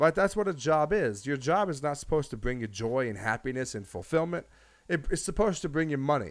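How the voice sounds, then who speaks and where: A man talks very fast at a fairly high pitch. His pitch swings very widely. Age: 20s. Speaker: podcast host and streamer. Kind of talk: personal storytelling monologue. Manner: halting, with frequent repetitions.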